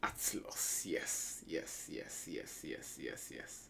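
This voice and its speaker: A man talks at a very slow pace in a space with audible room echo. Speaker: gaming streamer. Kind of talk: gameplay commentary. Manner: soft-spoken.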